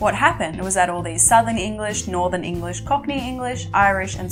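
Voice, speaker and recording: A woman speaks at a fairly quick pace with an Australian accent, music playing in the background. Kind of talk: educational video essay narration.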